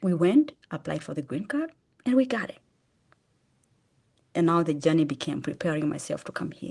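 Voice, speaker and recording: This woman's voice is very deep and low, with a dark, mellow tone. Her intonation is lively. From Kenya (Machakos, Eastern Kenya). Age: 50s. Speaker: charity founder. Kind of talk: testimony. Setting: podcast interview. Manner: halting with restarts.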